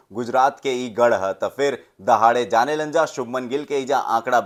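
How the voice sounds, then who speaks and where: In a very clean recording with a silent background, a man sounds energetic, his pitch varying in an ordinary way. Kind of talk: Bhojpuri-language cricket match preview commentary. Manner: energetic, humorous sports commentary.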